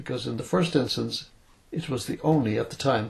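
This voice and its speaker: Vocal fry runs through a man's voice. His intonation is lively. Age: 80s+. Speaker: retired writer and journalist. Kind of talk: philosophical monologue from memory. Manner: hesitant; unscripted, speaking from memory.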